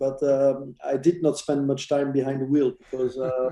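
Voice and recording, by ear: A man with a dark, mellow tone speaks at a medium pitch and a fairly slow pace, with little pitch movement.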